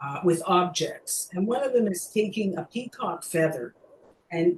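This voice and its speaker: With a Canadian accent, a woman uses an ordinary speaking voice at a fairly slow pace with ordinary pitch variation. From Canada. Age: 60s. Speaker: mime teacher with Parkinson's. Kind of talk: webinar Q&A talk. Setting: video call webinar.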